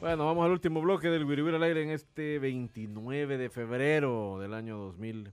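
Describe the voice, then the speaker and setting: A man speaks at a moderate pace in a plain, everyday voice. His pitch is fairly high and his intonation lively. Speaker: sports radio host. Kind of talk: casual chat.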